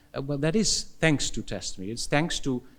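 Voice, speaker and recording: The speaker is a man. He talks with a Dutch accent. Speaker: philosophy professor. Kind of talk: conference Q&A answer. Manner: halting, many fillers and repetitions.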